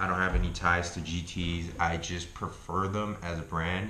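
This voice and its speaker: In a room with audible echo, a man talks in a very deep, low voice with a bright, sharp tone and fairly even intonation. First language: not English. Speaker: YouTuber reviewing health foods. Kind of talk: casual vlog review. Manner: casual, profane.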